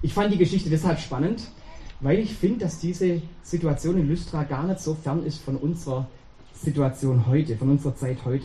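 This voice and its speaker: At a fairly quick pace, a man with a normal speaking voice and fairly high pitch talks with ordinary pitch variation. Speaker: preacher. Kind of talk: sermon. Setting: church. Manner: warm, conversational, addresses congregation directly with rhetorical questions.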